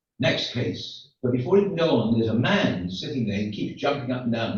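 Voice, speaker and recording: A man talks at a moderate pace, his pitch swinging very widely. His voice carries audible room echo. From England. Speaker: rabbi. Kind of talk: stand-up. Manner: halting.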